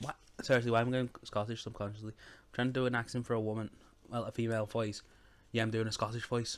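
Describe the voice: What you hear is plain reading aloud.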